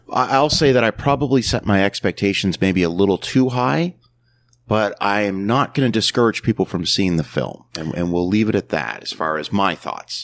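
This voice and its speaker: In an ordinary speaking voice, a man with a fairly low pitch speaks at a moderate pace with lively intonation, the sound dry and close with no echo. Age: 40s. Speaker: podcast host, movie reviewer. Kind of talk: casual chat.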